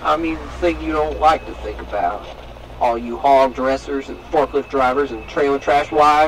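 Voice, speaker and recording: Over noticeable background noise, a man speaks at a moderate pace. His tone is theatrical. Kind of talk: performed sermon parody. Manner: mock-preacherly, sardonic, theatrical.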